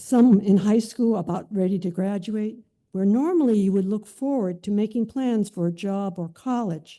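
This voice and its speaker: Speaking in an American accent, a woman has a medium pitch and a dark, mellow tone. Her pitch varies in an ordinary way. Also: quiet background. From California, San Mateo area. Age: 80s. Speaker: internment camp survivor sharing memoir. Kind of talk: reading aloud a written memoir.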